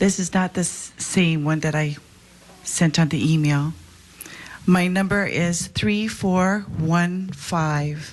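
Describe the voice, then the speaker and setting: Here a woman speaks at a very slow pace in a Hawaiian accent. Her pitch is fairly low and her intonation fairly even. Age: 60s. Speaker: public testifier at legislative hearing. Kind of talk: public testimony. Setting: legislative committee hearing.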